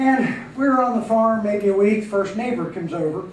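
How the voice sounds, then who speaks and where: Noticeable background noise and audible room echo surround a man speaking at a moderate pace with an American accent. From Pennsylvania and New Jersey. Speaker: coffeehouse owner and emcee. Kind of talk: stand-up.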